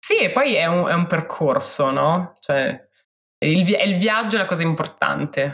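A woman at a fairly slow pace, with very even loudness. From Milan, northern Italy. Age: 30s. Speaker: founder of a women's outdoor sports community. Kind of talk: podcast interview. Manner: hesitant, with many repetitions.

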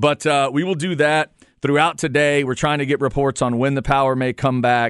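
This man has an unremarkable speaking voice, fairly high in pitch, with fairly even intonation at a moderate pace. The background is quiet and the sound is dry and close with no echo. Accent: American. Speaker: radio host. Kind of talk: radio DJ patter: casual sports-talk banter, riffing and chuckling with co-host. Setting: radio studio, broadcasting on FM during an ice storm.

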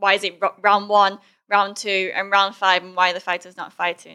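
A woman with an American accent, medium in pitch, at a moderate pace, her tone bright and sharp. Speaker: podcast host, Muay Thai fighter. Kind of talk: casual chat.

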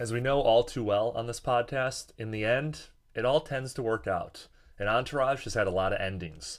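Moderately paced male speech, its pitch varying in an ordinary way. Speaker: podcast host. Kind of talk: casual solo podcast answering listener voicemails. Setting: hotel room, small microphone, echoey.

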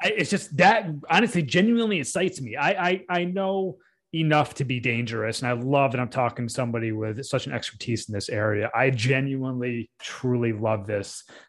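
Against a quiet background, a man with a normal speaking voice and a medium pitch talks at a fairly quick pace with lively intonation and hardly any pauses. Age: 30s. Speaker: podcast host. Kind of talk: casual interview. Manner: filler-heavy, many ums and uhs.

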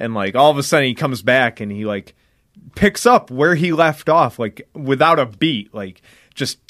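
The delivery has lively intonation at a moderate pace. It is a normal speaking voice. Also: man, dry, close sound with no echo. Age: 20s. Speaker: wrestler. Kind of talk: casual chat.

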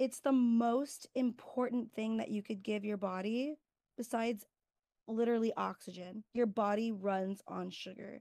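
In an ordinary speaking voice, a woman with an American accent talks at a fairly slow pace, her fairly high pitch held in fairly even intonation. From California. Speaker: nursing student. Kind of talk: casual educational interview.

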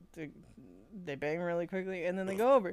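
Here is a woman with a plain, everyday voice. She has a fairly low pitch and ordinary pitch variation. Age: 20s. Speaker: podcast co-host. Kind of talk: casual chat, retelling a fanfiction story.

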